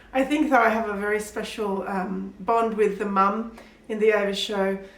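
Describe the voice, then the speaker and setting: Through audible room echo and noticeable background noise, a woman speaks in a fairly high pitch. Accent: Australian. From Pakistan. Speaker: children's author. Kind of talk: interview answers. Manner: animated.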